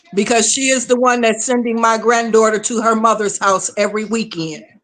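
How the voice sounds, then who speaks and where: Amid noticeable background noise, a woman with a fairly high pitch speaks at a fairly quick pace with fairly even intonation. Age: 60s. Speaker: caller. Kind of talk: emotional testimony on a call-in show.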